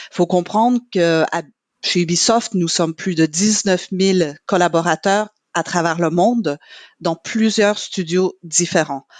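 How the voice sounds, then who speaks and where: A woman in an English accent speaks very slowly at a fairly low pitch, with ordinary pitch variation and very even loudness. The sound is dry and close with no echo, against a quiet background. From Quebec, Montreal. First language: English (speaking French). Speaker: marketing manager in corporate training. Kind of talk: podcast interview.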